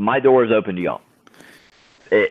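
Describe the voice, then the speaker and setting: American-accented speech from a man, pitched at a medium level. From US South, Alabama. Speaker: 3D printing community team member. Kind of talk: casual chat. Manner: animated.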